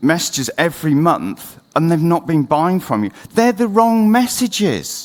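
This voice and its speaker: With a British accent, a man speaks fairly slowly in a high voice whose pitch swings very widely. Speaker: conference speaker, marketing agency founder. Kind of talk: conference talk. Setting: stage with audience. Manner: speeding up against the clock.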